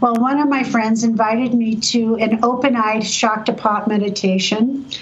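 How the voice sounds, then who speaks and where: Speaking in a Californian accent at a moderate pace, a woman with a fairly high pitch comes through noticeable background noise and audible room echo. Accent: General American, Californian. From US West Coast, San Diego. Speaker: energy medicine practitioner and educator. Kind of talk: storytelling interview.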